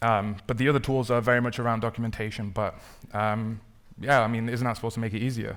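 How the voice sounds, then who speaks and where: Very fast speech with fairly even intonation comes through on a very clean recording with a silent background. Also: man. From northern England, Manchester. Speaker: software engineer, conference speaker. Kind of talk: conference talk. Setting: stage with audience. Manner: casual, many fillers.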